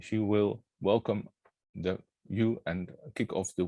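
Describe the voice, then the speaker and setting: A man with a Dutch accent speaks in a dark, mellow tone with fairly even intonation. The sound is dry and close, without echo. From Netherlands. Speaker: workshop moderator. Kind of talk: online workshop opening. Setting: online workshop.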